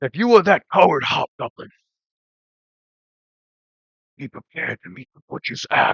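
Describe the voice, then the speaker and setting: A man's put-on character voice with a menacing tone, a fairly high pitch, a moderate pace, big swings in loudness and long, frequent pauses. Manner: menacing, challenging.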